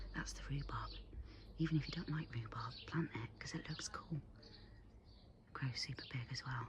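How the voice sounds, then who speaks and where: Someone is whispering at a moderate pace. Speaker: gardening vlogger. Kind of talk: casual garden tour. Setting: outdoors in garden. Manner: animated.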